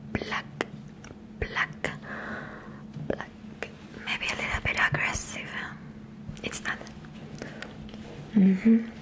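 A woman whispers very slowly, with long, frequent pauses throughout. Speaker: ASMR artist. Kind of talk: ASMR trigger words. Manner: whispered. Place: home room. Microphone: studio mic.

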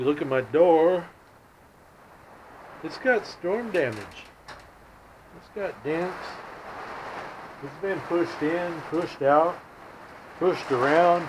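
Over noticeable background noise, a man speaks very slowly with long, frequent pauses. His pitch is high and his intonation lively. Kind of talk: casual vlog chat. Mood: annoyed, complaining. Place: garage. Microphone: phone near.

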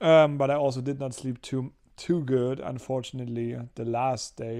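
Against a quiet background, a man speaks at a moderate pace. His intonation is monotone and flat. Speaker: vlogger. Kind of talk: casual vlog chat. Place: home room. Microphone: phone near.

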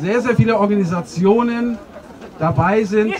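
Against noticeable background noise, a man talks in a high voice with ordinary pitch variation. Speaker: demonstrator and speaker. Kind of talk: open mic speech. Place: street.

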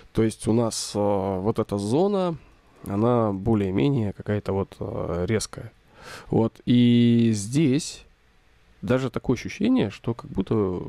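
A man with a dark, mellow tone speaks at a medium pitch and a very slow pace, with ordinary pitch variation and long, frequent pauses. The recording is very clean, with a silent background and a dry, close sound with no echo. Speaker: photography teacher. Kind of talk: tutorial. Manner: casual, filler-heavy.

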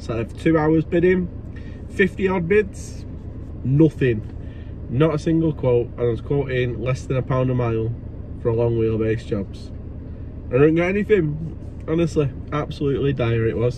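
Over light background noise, a man speaks at a moderate pace with long, frequent pauses, the sound dry with no echo. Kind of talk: casual vlog chat. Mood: animated storytelling. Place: car. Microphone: phone near.

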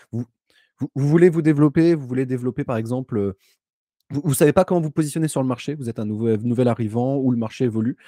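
A man with a dark, mellow tone talks very fast with ordinary pitch variation, in dry sound with no echo and a quiet background. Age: 20s. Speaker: data scientist consultant. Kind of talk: live stream interview. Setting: remote streaming setup. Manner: hesitant, many filler sounds. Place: home room. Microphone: studio mic.

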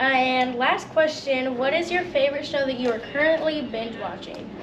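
Audible room echo carries a woman's high voice. She keeps a moderate pace with ordinary pitch variation.

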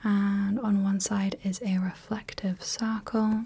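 A woman's voice, somewhat breathy with a dark, mellow tone, holds a fairly even intonation. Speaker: ASMR creator playing a light clinic practitioner. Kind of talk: soft-spoken role-play personal attention. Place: home room.

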